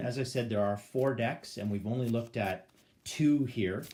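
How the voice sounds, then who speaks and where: A man with a Canadian accent speaks at a medium pitch and moderate pace, with ordinary pitch variation. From Canada. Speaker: board game YouTuber. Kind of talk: gameplay tutorial. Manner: hesitant, many fillers. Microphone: phone near.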